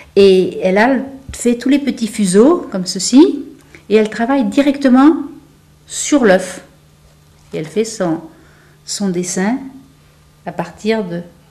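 Speaking at a very slow pace with long, frequent pauses, a woman uses lively intonation in a dark, mellow, somewhat breathy tone. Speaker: museum owner. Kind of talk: guided tour conversation. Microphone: lapel.

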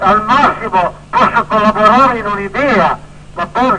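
At a moderate pace, a man with a high pitch and ordinary pitch variation raises and projects his voice over noticeable background noise. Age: 80s+. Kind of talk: interview answer. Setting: phone line.

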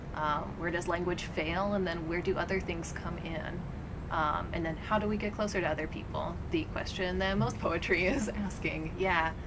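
Noticeable background noise behind a woman's fairly low voice, at a moderate pace with ordinary pitch variation. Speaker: poet. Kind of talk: interview answer. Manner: casual, hesitant. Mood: thoughtful, reflective. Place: garden.

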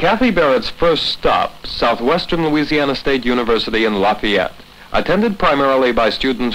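A man speaks at a moderate pace in an unremarkable speaking voice. His medium pitch holds very even loudness. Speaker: documentary narrator. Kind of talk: scripted narration. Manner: formal.

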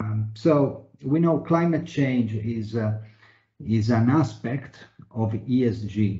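The voice is somewhat breathy, moving at a very slow pace with ordinary pitch variation. Audible room echo surrounds it against a quiet background. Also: man. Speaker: webinar moderator, internal audit executive. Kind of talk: moderated panel discussion. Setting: video call webinar. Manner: formal, uses many fillers. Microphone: video call.

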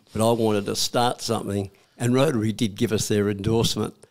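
At a fairly quick pace, a man with an Australian accent speaks in a monotone, flat manner at a fairly low pitch. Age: 80s+. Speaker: war veteran. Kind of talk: interview answer. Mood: warm, reflective. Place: studio. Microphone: studio mic.

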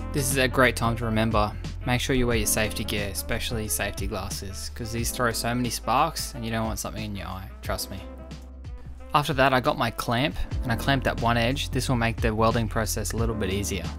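A man speaks at a very fast pace while music plays behind him. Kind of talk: tutorial voice-over narration.

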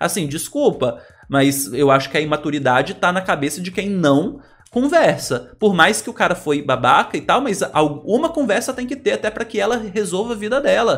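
Speaking at a moderate pace, a man with a high voice lets his pitch swing very widely. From Brazil. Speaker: celebrity gossip youtuber. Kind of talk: casual commentary, reading news aloud. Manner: animated. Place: home room.

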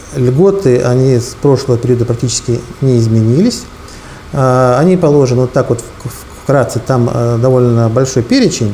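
A man talks at a moderate pace with ordinary pitch variation and very even loudness, leaving long, frequent pauses. Light background noise sits under his voice. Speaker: tax official. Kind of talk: interview. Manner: halting, formal. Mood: calm, official, explanatory. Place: office.

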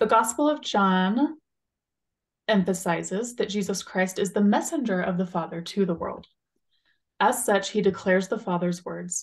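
Somewhat breathy, a woman speaks with ordinary pitch variation. She leaves long, frequent pauses. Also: moderate pace. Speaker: religious podcast co-host. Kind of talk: casual chat. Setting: video call. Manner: laughs often. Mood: calm, earnest. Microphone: video call.

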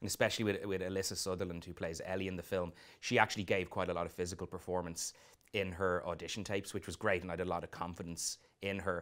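In an Irish accent, a man with a very deep, low pitch speaks very fast in a monotone, flat delivery against a quiet background. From Ireland. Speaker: film director. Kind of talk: interview. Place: studio. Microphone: lapel.

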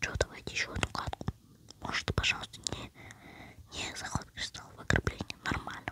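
Someone whispers at a moderate pace with long, frequent pauses. Noticeable background noise is present. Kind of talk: casual gaming commentary. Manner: whispering.

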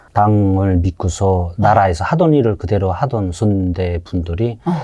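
In a quiet background, a man with a slight North Korean accent speaks at a fairly slow pace and fairly low pitch, his tone dark and mellow, his loudness very even and his pitch variation ordinary. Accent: mild North Korean (Hwanghae). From North Korea, Haeju, Hwanghae; Hwanghae, North Korea. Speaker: North Korean defector, former fisherman; interview guest. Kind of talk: casual interview. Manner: halting, many fillers. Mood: calm, reflective storytelling. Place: studio. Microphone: lapel.

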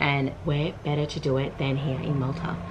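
Against noticeable background noise, a woman talks with very deep, low pitch and fairly even intonation. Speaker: travel vlogger. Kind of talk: casual vlog chat. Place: home room. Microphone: phone near.

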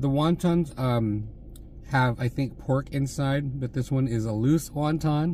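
A somewhat breathy man with a dark, mellow tone, in a dry sound with no echo and light background noise. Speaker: food vlogger. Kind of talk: casual mukbang vlog chat. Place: car. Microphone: phone near.

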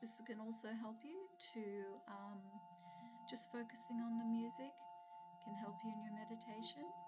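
Amid loud background noise, a woman speaks at a moderate pace with long, frequent pauses. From Australia. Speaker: hypnotherapist. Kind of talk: casual talk to camera. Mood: calm, warm, personal. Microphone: webcam.

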